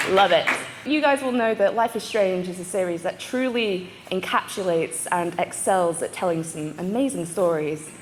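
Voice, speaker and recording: A woman with a British accent talks at a moderate pace and a medium pitch, with lively intonation. Noticeable background noise can be heard. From UK. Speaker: panel moderator. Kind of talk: convention panel hosting. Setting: stage with audience. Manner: animated.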